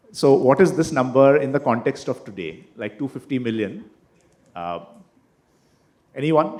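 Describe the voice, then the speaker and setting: A man at medium pitch talks at a moderate pace with lively intonation and vocal fry. He leaves long, frequent pauses. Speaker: panel moderator. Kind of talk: panel discussion. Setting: stage with audience. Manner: halting.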